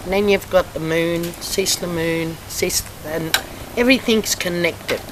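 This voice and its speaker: The speech has ordinary pitch variation at a fairly slow pace. Noticeable background noise runs underneath. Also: woman, fairly low pitch for a woman. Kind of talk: interview answer.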